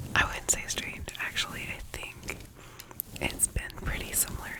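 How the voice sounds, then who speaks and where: The voice is a whisper. Background noise is clearly noticeable. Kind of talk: ASMR talk to camera, breathy whispers. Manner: soft, casual, conversational.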